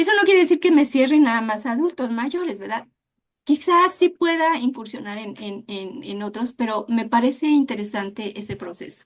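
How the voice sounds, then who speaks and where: A woman speaks at a moderate pace with a high pitch. Her pitch swings very widely and her loudness rises and falls a lot. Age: 60s. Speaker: dance therapist. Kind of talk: interview.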